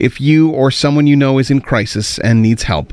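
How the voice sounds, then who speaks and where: In a Canadian accent, a man with an unremarkable speaking voice talks at a moderate pace and medium pitch with ordinary pitch variation, on a very clean recording with a silent background and a dry, close sound with no echo. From Ontario, Canada. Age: 50s. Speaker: radio host. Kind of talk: radio show commentary.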